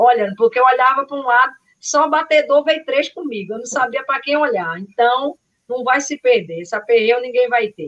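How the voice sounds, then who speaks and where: A woman speaks at a high pitch and a moderate pace with lively intonation. Her loudness swings widely. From Carpina, Pernambuco, Brazil. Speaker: trail runner. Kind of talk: live podcast chat.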